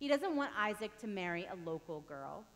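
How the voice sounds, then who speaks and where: The voice moves at a moderate pace. Its pitch swings very widely. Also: woman. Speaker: pastor. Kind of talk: sermon. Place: church.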